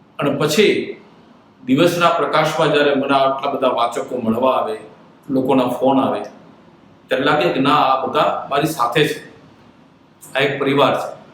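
With audible room echo and noticeable background noise, a man speaks at a fairly high pitch with fairly even intonation. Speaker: doctor and newspaper columnist. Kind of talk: personal monologue to viewers.

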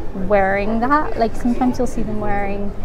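The voice has ordinary pitch variation, with music playing in the background. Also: woman. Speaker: travel vlogger. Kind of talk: casual vlog chat. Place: home room. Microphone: phone near.

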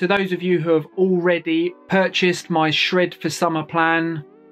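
Over faint music in the background, a man talks at a fairly slow pace. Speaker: fitness coach. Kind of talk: casual vlog chat. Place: home room. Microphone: phone near.

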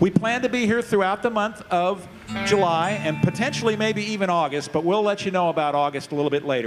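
Over music in the background, the speaker goes at a very fast pace with lively intonation. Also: man. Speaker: arts organization host. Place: stage. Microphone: handheld.

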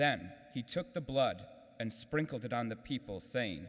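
Against a quiet background, a man talks fairly slowly with vocal fry. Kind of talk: scripture reading. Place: church. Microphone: podium.

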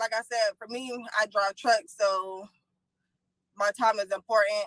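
A woman's medium-pitched, fairly bright voice, fairly slow and fairly even in intonation, with a dry, close sound and no echo.

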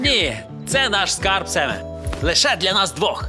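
Over faint music in the background, a man uses a cartoonish character voice, speaking fairly slowly at a high pitch with a bright, sharp tone and big pitch swings.

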